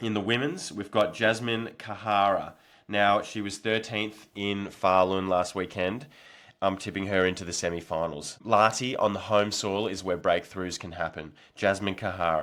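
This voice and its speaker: With an Australian accent, the speaker keeps a moderate pace and fairly even intonation. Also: man, fairly low pitch for a man. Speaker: nordic skiing podcast host and athlete. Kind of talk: casual predictions podcast.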